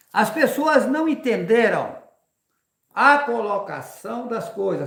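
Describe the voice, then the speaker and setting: Lively intonation from a man with an extremely high pitch, with audible room echo. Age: 60s. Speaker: religious preacher and rancher. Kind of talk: live religious talk.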